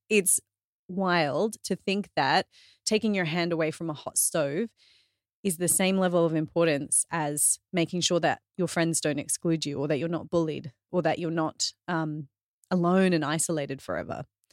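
Speaking with an Australian accent, a woman uses a fairly low pitch and fairly even intonation. Her sound is dry and close, with no echo. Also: moderate pace, very clean recording, silent background. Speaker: fitness trainer and author. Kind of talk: casual interview chat.

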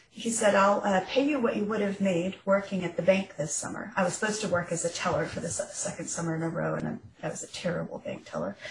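A woman with an American accent speaks at a very fast pace with ordinary pitch variation amid noticeable background noise. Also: medium pitch for a woman, hardly any pauses. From Nebraska, US Midwest. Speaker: novelist. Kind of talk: interview.

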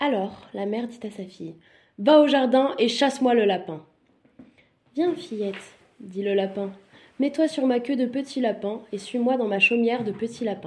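A woman's fairly high voice, fairly slow, with long, frequent pauses and ordinary pitch variation. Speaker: bedtime story narrator. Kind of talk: bedtime fairy-tale storytelling. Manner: soft, soothing, slow-paced storyteller.

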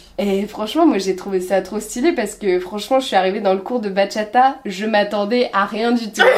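Over noticeable background noise, a woman talks at a moderate pace and medium pitch, with ordinary pitch variation and hardly any pauses. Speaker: podcast host. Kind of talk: casual interview. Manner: animated, laughs often.

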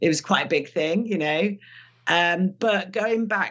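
With a London accent, a woman talks at a fairly slow pace using ordinary pitch variation. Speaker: retired police detective. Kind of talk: interview.

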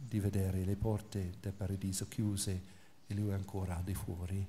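A man talks at a moderate pace in a fairly low pitch. There is audible echo from the room. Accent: English. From England. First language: English (speaking Italian). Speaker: priest and biblical scholar. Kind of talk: lecture.

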